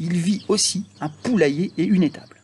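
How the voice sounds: The man's pitch is fairly high, his tone slightly mellow. His voice has a husky, rough edge.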